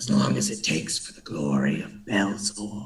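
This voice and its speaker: Someone performs a put-on character voice at a moderate pace. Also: man. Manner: solemn, devoted.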